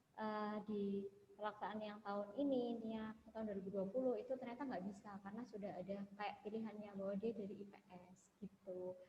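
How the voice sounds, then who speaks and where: A woman talks at a fairly quick pace in a medium pitch, her intonation monotone and flat. Noticeable background noise runs behind her. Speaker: webinar moderator. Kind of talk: webinar Q&A. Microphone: too quiet.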